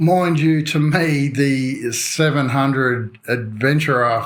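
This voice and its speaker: In an Australian accent, a man speaks at a medium pitch with fairly even intonation. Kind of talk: motorcycle news commentary to camera. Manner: casual, joking.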